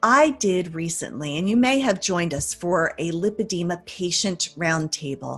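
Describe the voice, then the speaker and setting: With music in the background, the speech moves at a moderate pace with lively intonation and hardly any pauses. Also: woman, fairly low pitch for a woman. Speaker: interview host. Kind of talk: interview questions.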